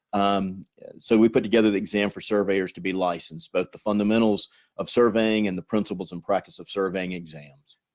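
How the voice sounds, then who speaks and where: With a Southern US accent, a man at fairly low pitch speaks at a fairly quick pace with fairly even intonation and big swings in loudness, on a very clean, dry and close recording with a silent background and no echo. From US South. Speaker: engineering exam organization executive. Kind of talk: panel discussion.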